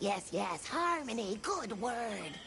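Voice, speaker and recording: Someone puts on a character voice with fairly high pitch, and background noise comes through clearly. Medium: short film. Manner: quirky broken grammar, sing-song.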